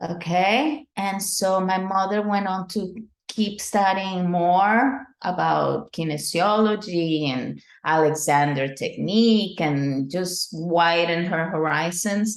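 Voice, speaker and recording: Speaking very slowly with a Spanish accent, a woman keeps a medium pitch and ordinary pitch variation. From Venezuela. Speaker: dance professor. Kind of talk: interview.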